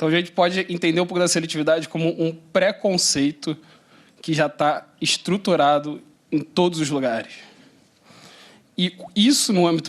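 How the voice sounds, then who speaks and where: Speaking in a Carioca accent, a man keeps a moderate pace at a fairly high pitch. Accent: carioca Rio de Janeiro. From Rio de Janeiro city, Brazil. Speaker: panel moderator, lawyer. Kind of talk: panel introduction with personal anecdote. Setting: conference panel with live audience.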